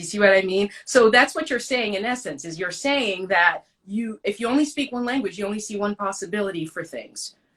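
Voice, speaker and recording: In a French accent, a woman speaks at a fairly quick pace and medium pitch, with lively intonation and big swings in loudness. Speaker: actress and podcast host. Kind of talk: interview.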